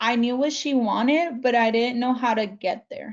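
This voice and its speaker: This woman's voice sits at a high pitch. Her intonation stays fairly even. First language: Spanish. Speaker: community college alumna. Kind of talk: panel interview.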